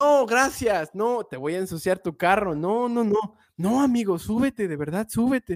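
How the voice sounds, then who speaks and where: This man talks at a fairly slow pace with hardly any pauses, in a Mexican accent, his pitch high for a man and his intonation lively. The recording is very clean and dry, close with no echo, over a silent background. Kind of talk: casual chat. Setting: live stream.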